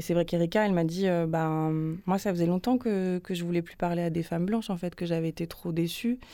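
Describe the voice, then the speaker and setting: On a very clean recording with a silent background, a woman with a fairly low pitch and a dark, mellow tone speaks at a fairly quick pace with fairly even intonation. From Paris, France. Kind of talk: radio interview. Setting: studio.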